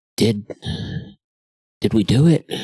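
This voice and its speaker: A man performs a put-on character voice at medium pitch. The sound is dry and close, with no echo. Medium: actual play.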